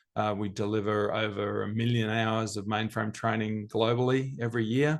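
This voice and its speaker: With an Australian accent, a man speaks in a fairly low pitch and a monotone, flat intonation against a quiet background. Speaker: business executive. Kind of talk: interview.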